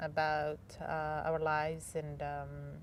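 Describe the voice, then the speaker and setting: A woman talks with an Arabic accent. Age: 20s. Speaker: English teacher. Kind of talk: personal testimony interview. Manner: halting, with fillers and self-corrections.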